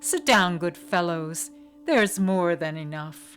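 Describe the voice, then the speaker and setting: Over clear background music, a woman does a put-on character voice at a fairly low pitch and a fairly slow pace. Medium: read story. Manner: earnest.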